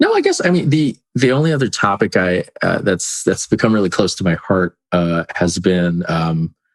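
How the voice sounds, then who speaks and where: Using a normal speaking voice, a fairly low-pitched man talks at a moderate pace with lively intonation and hardly any pauses, the sound dry and close with no echo. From California, born in the Philippines. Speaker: statistician. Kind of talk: casual interview.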